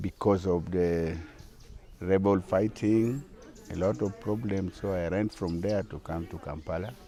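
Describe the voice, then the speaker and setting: A man with a Ugandan accent, a very deep, low pitch and a dark, mellow tone, at a fairly slow pace with ordinary pitch variation. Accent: Ugandan (Acholi) English. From Northern Uganda, Kitgum District. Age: 60s. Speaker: traditional musician and dance group leader. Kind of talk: interview. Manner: halting.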